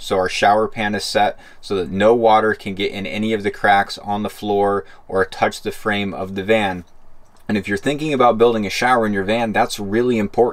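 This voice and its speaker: Pitched fairly low, a man speaks at a moderate pace with fairly even intonation. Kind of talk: tutorial.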